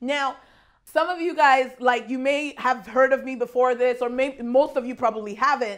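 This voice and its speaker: Loud and animated, a woman speaks at a moderate pace. Her voice is high. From Nigeria. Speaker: guest preacher. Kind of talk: sermon.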